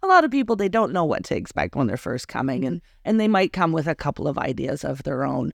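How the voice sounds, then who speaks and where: A woman speaks loudly at a fairly low pitch, with very wide pitch swings. The sound is dry and close with no echo, against a quiet background. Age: 40s. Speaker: boudoir photographer. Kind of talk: casual interview chat. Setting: her studio, in person. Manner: loud, laughs often.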